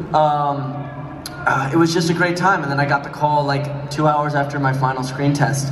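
A man with a fairly high pitch speaks at a moderate pace, his intonation fairly even. Light background noise and audible room echo surround him. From New York. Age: young. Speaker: actor. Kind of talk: convention panel Q&A. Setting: stage with audience. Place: hall.

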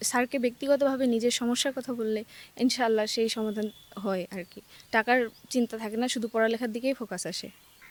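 A woman speaks at a fairly high pitch with fairly even intonation and big swings in loudness, the sound dry and close with no echo. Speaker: student, university admission candidate. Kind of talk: interview. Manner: halting.

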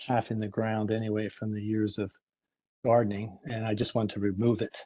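At a fairly quick pace, the speaker holds a monotone, flat intonation over a quiet background. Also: man, fairly low pitch for a man. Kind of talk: informal statement at a public meeting. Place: home room. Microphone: video call.

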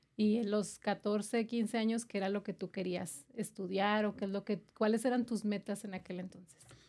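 A woman's dark, mellow voice in a flat monotone, with hardly any pauses. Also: moderate pace. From Chihuahua, Mexico. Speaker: podcast host. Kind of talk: interview. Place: studio. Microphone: studio mic.

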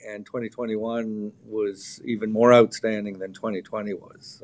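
In a Canadian accent, a man speaks very slowly with monotone, flat intonation. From Canada. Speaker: gun company general manager. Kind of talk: interview. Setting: live video interview. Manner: hesitant, many fillers and repeats. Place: shop. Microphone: video call.

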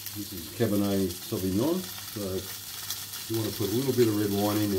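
A man talks at a very fast pace. Background noise is noticeable. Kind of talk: casual cooking tutorial. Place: kitchen. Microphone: phone near.

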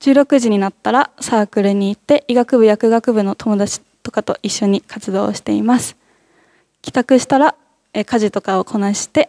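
Against a quiet background, a woman with a fairly high pitch and a dark, mellow tone talks at a moderate pace with ordinary pitch variation. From Fukushima, Iwaki; Fukushima. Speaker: nursing student; presenter. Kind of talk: student presentation at open campus. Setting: campus hall with audience. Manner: polite, formal with fillers. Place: hall.

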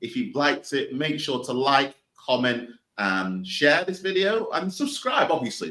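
In a Mancunian accent, a man speaks at a medium pitch and a moderate pace, his pitch swinging very widely. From Manchester, England. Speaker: podcast host. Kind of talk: scripted outro; interview.

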